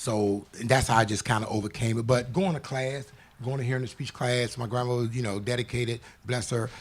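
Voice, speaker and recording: Fairly even intonation from a man with a somewhat breathy, medium-pitched voice. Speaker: author. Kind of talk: interview. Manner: fast.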